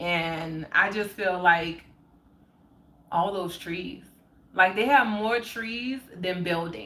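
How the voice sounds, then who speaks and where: A woman with an American accent speaks at a very slow pace, leaving long, frequent pauses, at a medium pitch with ordinary pitch variation. Her relaxed tone is also bright and sharp, and audible room echo surrounds her. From New Orleans, US South. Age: 30s. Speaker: spiritual livestreamer. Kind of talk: casual livestream chat. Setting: live stream. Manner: relaxed, chatty.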